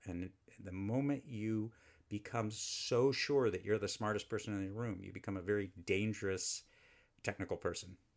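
A man talks at a moderate pace and fairly low pitch. The recording is very clean, with a silent background. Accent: American. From Texas, Houston. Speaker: engineer and research scientist. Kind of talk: interview. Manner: animated.

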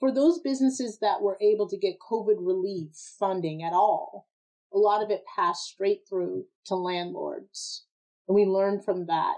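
Her dark, mellow tone sits at a medium pitch, and the woman talks at a moderate pace with ordinary pitch variation. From Massachusetts, US (Framingham, near Boston). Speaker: nonprofit president and business advocate. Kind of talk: interview conversation.

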